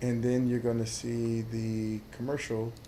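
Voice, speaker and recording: A man's dark, mellow voice at medium pitch, monotone and flat, with audible room echo. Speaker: livestreamer playing a city-building game. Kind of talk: gameplay commentary livestream.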